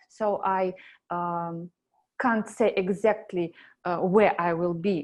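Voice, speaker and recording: A woman speaks very slowly in a Russian accent, at a medium pitch with ordinary pitch variation. The background is quiet. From Belarus. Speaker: animator. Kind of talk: job interview. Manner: halting, many fillers.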